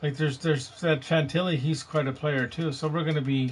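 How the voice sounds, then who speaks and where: A man with a fairly high pitch sounds somewhat breathy and keeps his intonation fairly even. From British Columbia, Canada. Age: 50s. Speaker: gaming live streamer. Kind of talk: casual chat.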